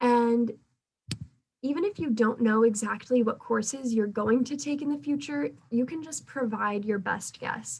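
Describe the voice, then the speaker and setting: This woman has a plain, everyday voice, fairly high in pitch with ordinary pitch variation, and she talks fairly slowly. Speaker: pre-dental student club officer. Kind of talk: club meeting presentation.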